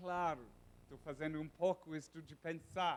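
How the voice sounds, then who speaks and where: A man with a non-native accent, high in pitch, at a fairly slow pace, with ordinary pitch variation. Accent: foreign accent in Portuguese. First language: English (speaking Portuguese). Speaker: professor. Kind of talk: lecture. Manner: halting.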